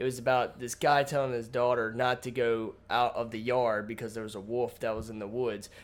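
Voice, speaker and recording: A man of medium pitch talks at a fairly quick pace with hardly any pauses and monotone, flat intonation. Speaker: podcast co-host. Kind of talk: casual chat.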